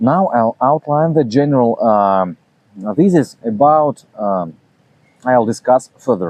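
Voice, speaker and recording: A man speaks in a Russian accent. His pace is very slow. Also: medium pitch for a man, lively intonation. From Russia, Saint Petersburg. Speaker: philosophy channel host. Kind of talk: reading aloud a self-translated talk. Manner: halting, many fillers.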